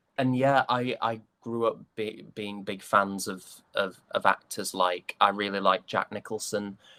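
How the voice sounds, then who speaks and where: Recorded dry and close with no echo, a man speaks at a fairly slow pace in a fairly low voice. His tone is bright and sharp, and his intonation is fairly even. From northern England, West Yorkshire. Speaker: stage and voice actor. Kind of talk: interview conversation. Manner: hesitant with fillers and restarts.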